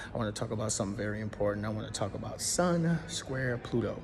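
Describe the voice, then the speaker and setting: Talking fairly quickly, a man is heard with audible echo from the room. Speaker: astrology content creator. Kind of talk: casual explainer monologue. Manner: fast; halting, many fillers and restarts.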